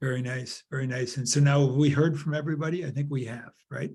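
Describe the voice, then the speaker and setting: A man's fairly high, somewhat breathy voice with a dark, mellow tone and an American accent, fairly quick, with fairly even intonation. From Chicago, US Midwest. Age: 70s. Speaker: workshop facilitator. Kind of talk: group discussion facilitation. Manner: halting, many repetitions.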